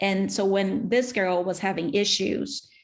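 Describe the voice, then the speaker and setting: Her pitch medium and her intonation fairly even, a woman talks at a moderate pace with vocal fry. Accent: non-native. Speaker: speech-language pathologist and author. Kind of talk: interview.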